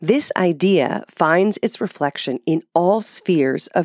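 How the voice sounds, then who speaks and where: A woman with an unremarkable speaking voice talks at a fairly low pitch with lively intonation, the sound dry and close with no echo. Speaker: podcast host and author reading a text aloud. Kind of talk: literary text reading; scripted political pamphlet reading, with casual commentary in the intro and outro. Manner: formal, measured, declamatory; earnest and didactic, with an intellectual tone.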